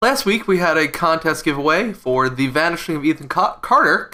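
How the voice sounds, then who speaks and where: In a plain, everyday voice, a man speaks at a fairly quick pace, his pitch fairly high and his intonation lively. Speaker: podcast host.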